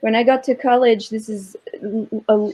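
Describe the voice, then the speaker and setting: A woman with a French accent speaks at a fairly high pitch and a fairly slow pace, keeping her intonation fairly even. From southern France. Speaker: Arabic-speaking professional panelist. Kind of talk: panel discussion.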